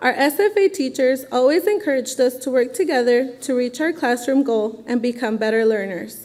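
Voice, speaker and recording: Noticeable background noise sits behind a woman with a high pitch. She talks at a moderate pace with lively intonation. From Phoenix, Arizona. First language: Spanish. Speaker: teaching assistant and education student. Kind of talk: testimony.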